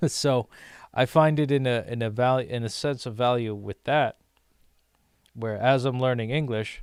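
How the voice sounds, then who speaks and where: On a very clean recording with a silent background, a man of medium pitch talks at a moderate pace with fairly even intonation and long, frequent pauses. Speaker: streamer learning Portuguese. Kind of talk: casual livestream talk. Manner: halting.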